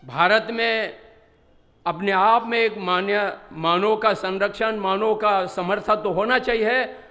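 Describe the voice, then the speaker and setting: With a bright, sharp tone, a man projects a raised, high-pitched voice with fairly even intonation. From Ladakh, India. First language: Bodhi (Ladakhi/Tibetan) (speaking Hindi). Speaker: Buddhist religious teacher. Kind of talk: conference speech. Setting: stage with audience.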